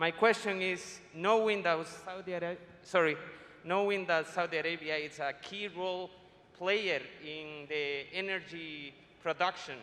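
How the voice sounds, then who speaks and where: At a fairly slow pace, a man speaks in a high voice with a bright, sharp tone and fairly even intonation. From Ecuador. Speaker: doctoral student, audience questioner. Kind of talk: audience question.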